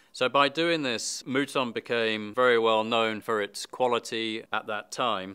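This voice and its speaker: Speaking at a fairly slow pace with a British accent, a man has a bright, sharp tone and a medium pitch with ordinary variation, recorded very cleanly against a silent background. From Britain. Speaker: wine expert presenter. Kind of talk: scripted presentation.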